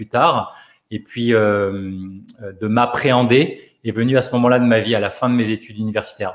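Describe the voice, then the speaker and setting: A man speaks at a moderate pace. His pitch sits in the middle range. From France, Paris area. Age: 40s. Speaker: physiotherapist and life coach, author. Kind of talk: radio interview. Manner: hesitant, many repetitions and fillers.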